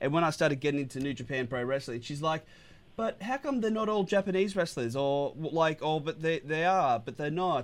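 Lively in intonation, a man with an Australian accent speaks at a fairly quick pace and a fairly high pitch. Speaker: radio host. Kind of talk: radio show banter about wrestling. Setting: radio studio. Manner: animated, enthusiastic.

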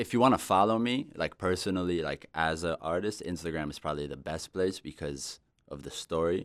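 The recording is very clean, with a silent background. A man with a very deep, low pitch speaks with lively intonation and vocal fry. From Israel. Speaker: musician and music producer. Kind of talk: casual interview chat. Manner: halting, many fillers.

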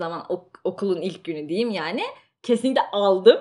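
It is an ordinary speaking voice. The speech comes at a moderate pace. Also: woman. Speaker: student and podcast co-host. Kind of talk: casual chat.

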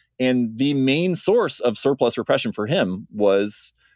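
A man speaks with lively intonation in an American accent. The recording is very clean with a silent background and a dry, close sound with no echo. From United States. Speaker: PhD researcher in history. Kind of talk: podcast interview. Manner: halting, many fillers.

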